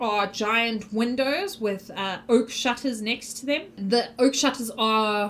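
The text gets plain reading aloud, its pitch varying in an ordinary way.

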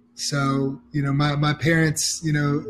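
With an American accent, the speaker sounds somewhat breathy. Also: man. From US South, Atlanta, Georgia. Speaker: startup CEO. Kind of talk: interview. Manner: halting, many fillers.

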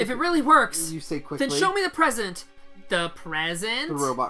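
The reading voice here is unforced.

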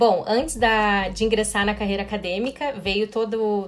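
A woman's medium-pitched voice at a moderate pace, fairly even in intonation, with noticeable background noise. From Brazil, western Paraná. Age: 30s. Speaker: chemical engineering professor. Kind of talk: interview.

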